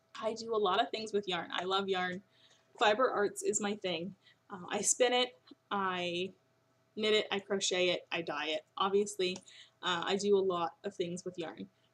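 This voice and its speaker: A woman's medium-pitched voice keeps fairly even intonation at a moderate pace. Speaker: knitting podcast host and yarn dyer. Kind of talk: casual podcast monologue. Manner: hesitant, many fillers.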